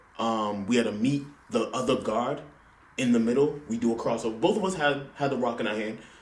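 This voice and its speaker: In a room with audible echo, a man speaks at a fairly quick pace with an American accent. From Los Angeles. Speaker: podcast guest, former college basketball hopeful. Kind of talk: casual chat.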